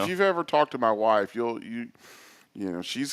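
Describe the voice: Recorded very cleanly against a silent background, a man talks with an East Texas accent.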